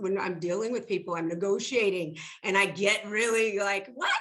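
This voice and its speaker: A woman speaks in an animated tone with ordinary pitch variation over noticeable background noise. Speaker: film industry executive. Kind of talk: panel discussion. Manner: loud.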